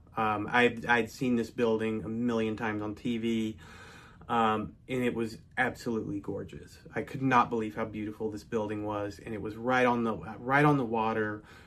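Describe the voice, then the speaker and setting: A man with an American accent at medium pitch, monotone and flat, at a moderate pace. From North Texas. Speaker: storyteller. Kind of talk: personal storytelling. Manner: casual with fillers.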